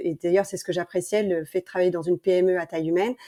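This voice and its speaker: Her voice sits at a medium pitch, and this woman has a dark, mellow tone. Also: dry, close sound with no echo. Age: 40s. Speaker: entrepreneur, brand founder. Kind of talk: podcast interview.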